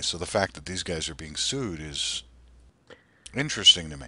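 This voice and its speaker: A man's very deep, low voice, bright and sharp in tone, with vocal fry. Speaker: podcast host. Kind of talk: casual chat. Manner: halting.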